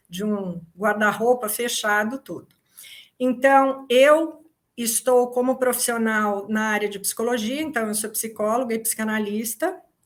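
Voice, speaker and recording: Delivered at a fairly slow pace, a normal speaking voice shows big swings in loudness. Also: woman, fairly high pitch for a woman, ordinary pitch variation. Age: 60s. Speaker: psychologist and essential oil company founder. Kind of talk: workshop talk.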